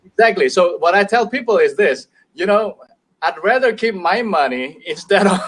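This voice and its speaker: The pace sits at a moderate level. Intonation rises and falls in a lively way. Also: man. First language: Indonesian. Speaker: business owner. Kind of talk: casual chat. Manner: halting.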